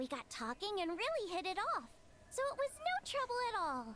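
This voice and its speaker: Using a put-on character voice, a woman speaks at an extremely high pitch with very wide pitch swings and a moderate pace over clear background noise. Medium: video game.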